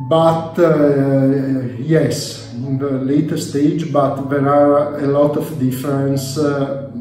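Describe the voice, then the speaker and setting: Over light background noise and audible room echo, a man speaks very slowly in a flat monotone. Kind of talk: interview answer. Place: home room. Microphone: phone near.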